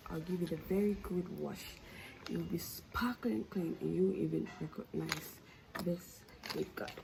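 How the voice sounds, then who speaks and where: A woman with a non-native accent at a fairly slow pace, long, frequent pauses and noticeable background noise. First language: not English. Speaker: beauty vlogger. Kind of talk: casual vlog.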